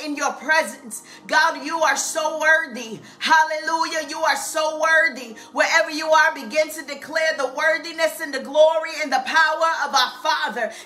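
A woman's raised, projected voice at a moderate pace, hardly any pauses, and faint music in the background. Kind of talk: fervent live-stream prayer. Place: home room. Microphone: webcam.

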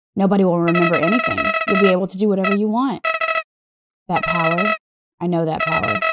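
Using a put-on character voice at a middle pitch, the speaker moves at a fairly quick pace with very wide pitch swings. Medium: game stream. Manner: pleading, wistful.

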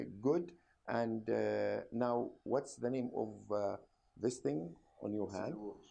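This man talks with an Arabic accent. His pace is very slow. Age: old. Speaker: doctor, medical professor. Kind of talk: medical examination demonstration.

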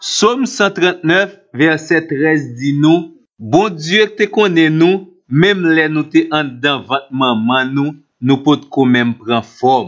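Lively intonation and a fairly high pitch from a man, delivered at a very slow pace. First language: Haitian Creole (speaking French). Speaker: Bible teacher. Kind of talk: scripted Bible teaching.

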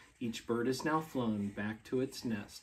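Soft-spoken and warm, with a playful tone, a man talks at a fairly slow pace and ordinary pitch variation. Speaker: school staff member reading to children. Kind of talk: gentle bedtime story read aloud to young children, with pauses for kids. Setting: at home with his young children. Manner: soothing, lilting storyteller cadence, softly winding down; warm and playful, laughing and prompting little listeners. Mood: calm, soft bedtime tone. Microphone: camera far.

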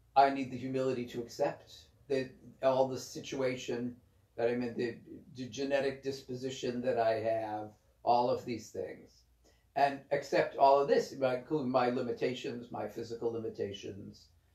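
A man's dark, mellow tone in a monotone, flat delivery, with audible room echo over a quiet background. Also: moderate pace. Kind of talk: spiritual reading with commentary. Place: home room. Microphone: camera far.

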